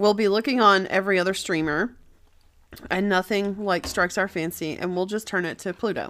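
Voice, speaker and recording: A woman speaks with an ordinary speaking voice at a medium pitch. Her pace is fairly quick and her intonation fairly even. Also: very clean recording, silent background. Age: 40s. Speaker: film podcast co-host. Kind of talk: casual chat. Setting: eating breakfast while recording.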